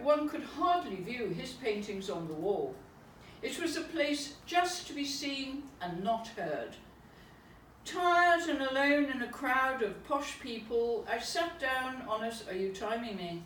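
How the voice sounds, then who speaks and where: Very wide pitch swings mark this fairly slow delivery in an English accent. The recording has noticeable background noise and audible room echo. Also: woman. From England. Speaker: poet. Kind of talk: reading aloud. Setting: private salon with audience.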